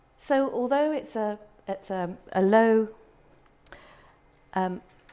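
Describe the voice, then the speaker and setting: The voice has a British accent and a dark, mellow tone. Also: woman. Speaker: travel marketing executive presenting to tourism professionals. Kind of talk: presentation. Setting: room with audience.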